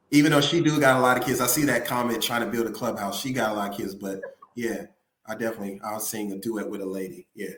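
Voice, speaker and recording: A man with a Memphis accent talks at a very fast pace. Audible room echo surrounds his voice. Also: medium pitch for a man, ordinary pitch variation. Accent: Southern US (Memphis). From Memphis, US South. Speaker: musician. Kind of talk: casual interview.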